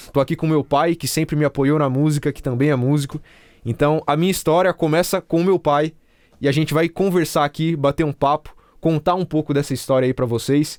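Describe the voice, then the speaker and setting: In a normal speaking voice, a man talks at a fairly quick pace with a fairly high pitch and ordinary pitch variation, in a very clean recording with a silent background and a dry, close sound with no echo. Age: 20s. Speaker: music producer and youtuber. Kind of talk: casual chat.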